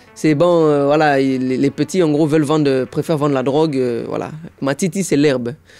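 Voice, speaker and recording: With music in the background, a man talks at a moderate pace with a fairly high pitch and fairly even intonation. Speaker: impressionist and sapologist. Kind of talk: interview answer.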